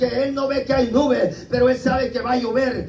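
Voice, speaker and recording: Over noticeable background noise and audible room echo, a man speaks at a moderate pace in an extremely high pitch with monotone, flat intonation. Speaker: preacher. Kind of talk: sermon.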